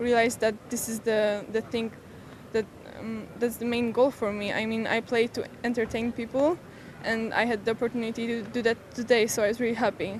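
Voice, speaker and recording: A woman with a Polish accent speaks at a fairly quick pace in a fairly high, monotone voice with flat intonation, against noticeable background noise. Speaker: junior tennis champion. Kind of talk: post-match interview. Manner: halting.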